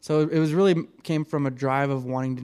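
With an American accent, a man talks in a dark, mellow tone and a monotone, flat intonation on a very clean recording with a silent background. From Reno, Nevada. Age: 30s. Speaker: podcast co-host. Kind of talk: casual chat. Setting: studio.

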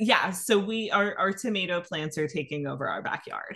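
A woman speaks at a moderate pace with a medium pitch, ordinary pitch variation and an ordinary speaking voice. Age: 30s. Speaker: podcast co-host. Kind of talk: casual chat.

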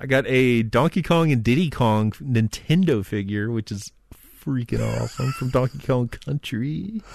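This man has a plain, everyday voice, with medium pitch, lively intonation and a moderate pace. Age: 30s. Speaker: podcast co-host. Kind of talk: casual chat.

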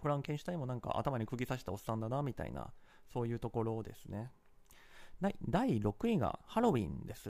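Talking at a very fast pace, a man has a medium pitch, ordinary pitch variation and a dark, mellow tone. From Kansai, Japan. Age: 30s. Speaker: podcast host. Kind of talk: solo travel talk. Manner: casual with many fillers.

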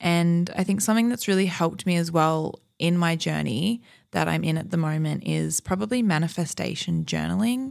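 A woman speaks at a moderate pace with an Australian accent. Her loudness stays very even over a very clean recording with a silent background. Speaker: podcast host. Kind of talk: casual monologue. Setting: home recording in Malibu hills. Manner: animated.

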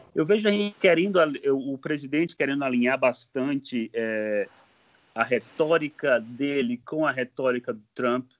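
In a strong Bahian accent, a man speaks at a fairly slow pace and medium pitch with ordinary pitch variation. The sound is dry and close, with no echo. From Bahia backlands, Brazil. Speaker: mechanical engineer, master's student. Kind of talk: casual political discussion. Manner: halting, many fillers.

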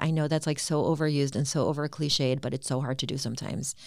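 A woman speaks in a very deep, low pitch with an American accent and ordinary pitch variation. The recording is very clean, with a silent background. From US Midwest, Cleveland, Ohio. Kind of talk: interview conversation. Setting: in person, same room.

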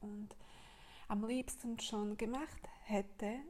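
A woman speaks with a Slovak accent. Her pace is very slow. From Slovakia. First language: Slovak (speaking German). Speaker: podcaster and women's business coach. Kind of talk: casual monologue. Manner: halting, many fillers.

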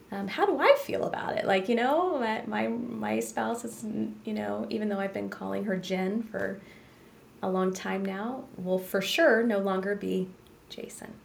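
Talking fairly slowly, a woman is heard with noticeable background noise behind her. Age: 40s. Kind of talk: casual interview conversation.

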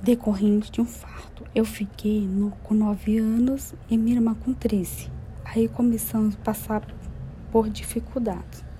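Noticeable background noise accompanies a woman who talks at a fairly slow pace. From Brazil, interior of Minas Gerais. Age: 30s. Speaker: single mother and university student. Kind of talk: personal testimony, read aloud.

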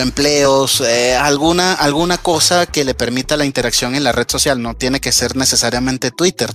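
A man at a medium pitch, with music in the background. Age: 30s. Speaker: software developer. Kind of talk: interview.

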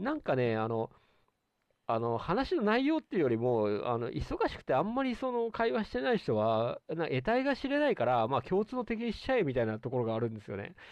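A man speaks at a fairly quick pace in a fairly high pitch. His pitch swings very widely. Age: middle-aged. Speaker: podcast host. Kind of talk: casual chat.

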